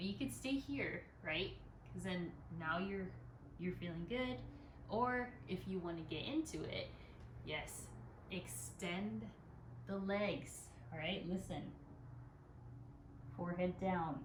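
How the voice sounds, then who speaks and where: A woman speaks at a very slow pace with long, frequent pauses and a calm, soothing tone, with audible room echo and noticeable background noise. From Philippines. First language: bilingual Tagalog and English. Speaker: yoga instructor. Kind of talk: guided yoga class instruction.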